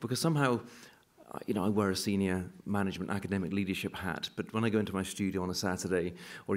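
With a British accent, the speaker talks at a very fast pace with fairly even intonation against a quiet background. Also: man. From UK. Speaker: university executive and painter; keynote speaker. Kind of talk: keynote lecture. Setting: stage with audience. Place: hall. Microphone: podium.

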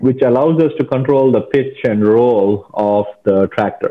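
The man's voice shows ordinary pitch variation, and the setting is quiet. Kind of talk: interview answer. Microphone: earbuds.

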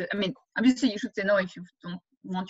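The speech moves at a fairly quick pace with ordinary pitch variation against a quiet background. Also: woman. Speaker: economics professor. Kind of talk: interview Q&A. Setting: video call. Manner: fast talker. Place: home room. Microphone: webcam.

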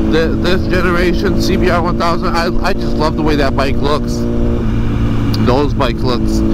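Loud background noise fills the recording, while the sound itself is dry with no echo. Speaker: motovlogger rider. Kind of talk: casual vlog chat. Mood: enthusiastic about the bike. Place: motorbike.

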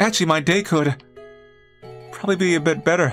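Over faint background music, a man in a put-on character voice speaks very fast in a squeaky, high pitch. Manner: cute, playful.

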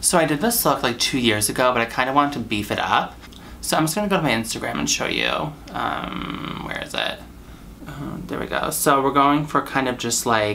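A man talks fairly quickly with ordinary pitch variation, light background noise under his voice. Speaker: makeup tutorial creator. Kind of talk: casual vlog chat. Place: home room.

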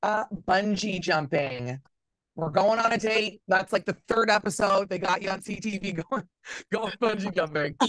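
A woman speaks at a moderate pace in a fairly bright tone, with medium pitch and ordinary pitch variation.

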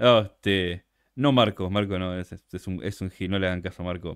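Speaking at a moderate pace, a man uses a fairly low voice. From Argentina, Buenos Aires. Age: 40s. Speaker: content creator. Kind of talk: casual chat. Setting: livestream. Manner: animated.

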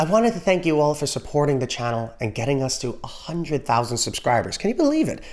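Against a quiet background, a man with an American accent talks at a fairly quick pace with very wide pitch swings. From New York City (Bronx), Trinidadian family. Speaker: music YouTuber. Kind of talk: scripted narration. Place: home room. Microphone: studio mic.

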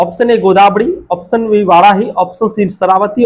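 Speaking at a fairly slow pace, a man with a high voice uses lively intonation.

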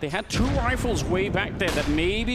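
With noticeable noise behind him, a man talks in an excited tone. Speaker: esports caster. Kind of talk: live esports commentary. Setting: broadcast match commentary over game footage. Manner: fast-paced, excited play-by-play.

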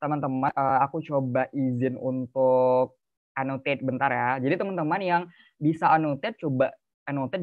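Over a quiet background, a man with a fairly high voice talks at a fairly quick pace with fairly even intonation. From Bekasi, Indonesia; Indonesia. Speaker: youth speaker; speaker. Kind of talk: webinar talk. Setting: video call. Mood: casual, friendly. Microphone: video call.

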